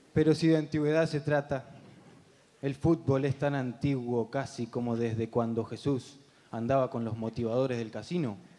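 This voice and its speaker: This man speaks with a Uruguayan accent in a dark, mellow tone. His intonation is fairly even and his pace moderate. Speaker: comedian. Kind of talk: stand-up. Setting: stage with audience. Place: stage. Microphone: handheld.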